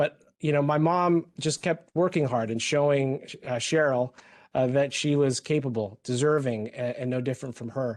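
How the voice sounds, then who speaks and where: A fairly high-pitched man with an American accent at a moderate pace, ordinary pitch variation and a quiet background. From Philippines, raised in California. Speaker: health system executive. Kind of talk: personal testimony. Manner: halting, many fillers.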